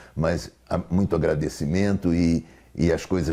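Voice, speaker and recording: A man's pitch is very deep and low. His intonation stays fairly even. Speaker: therapist. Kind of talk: lecture. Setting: online congress talk. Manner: halting.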